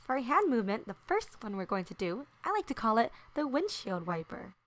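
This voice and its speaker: A woman speaks in an upbeat, bright and sharp tone, her fairly high pitch swinging very widely. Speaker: elementary school teacher. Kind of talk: children's dance tutorial. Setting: voiceover. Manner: sweet, upbeat.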